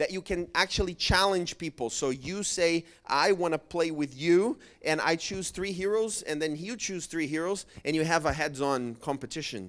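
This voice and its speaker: A high-voiced man with a Portuguese accent speaks at a moderate pace with ordinary pitch variation on a very clean recording with a silent background. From Brazil. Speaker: church evangelism project presenter. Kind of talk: seminar presentation.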